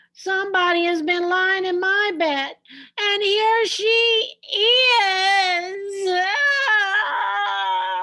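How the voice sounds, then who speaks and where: Speaking at a very slow pace, a woman puts on a character voice pitched extremely high. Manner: crying out, startled.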